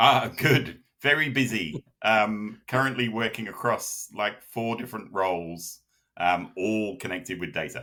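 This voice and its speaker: With a British accent, a man speaks at a fairly slow pace in a medium-pitched voice with a bright, sharp tone and ordinary pitch variation. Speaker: data consultant. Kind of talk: interview. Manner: halting, many fillers.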